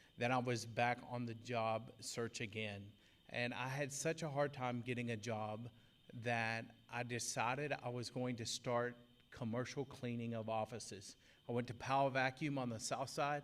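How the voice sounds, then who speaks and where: In an East Texas accent, a man talks at a moderate pace and medium pitch with monotone, flat intonation. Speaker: business owner, formerly incarcerated speaker. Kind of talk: testimony speech at employer event.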